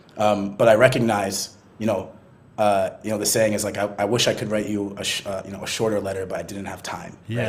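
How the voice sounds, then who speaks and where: A man with an American accent speaks at a fairly quick pace in a monotone, flat intonation, with big swings in loudness. Noticeable background noise is present. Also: fairly low pitch for a man. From US, Boston. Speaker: marketing executive. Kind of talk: podcast interview. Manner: fast, many fillers and false starts.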